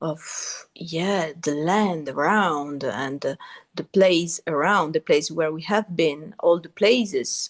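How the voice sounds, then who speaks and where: A woman's fairly low voice at a very slow pace, with ordinary pitch variation, a quiet background and a dry, close sound with no echo. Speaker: podcast guest. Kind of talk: interview conversation. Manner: halting.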